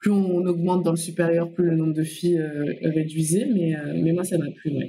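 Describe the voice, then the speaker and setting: A woman with a fairly low pitch speaks at a moderate pace and with fairly even intonation. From Comoros. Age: 20s. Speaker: infrastructure finance professional. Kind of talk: podcast interview. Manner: hesitant, many fillers.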